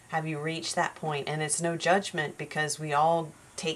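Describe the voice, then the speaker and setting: This woman's voice sits at a very deep, low pitch. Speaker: tarot reader. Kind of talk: spiritual tarot reading monologue. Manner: slow and careful.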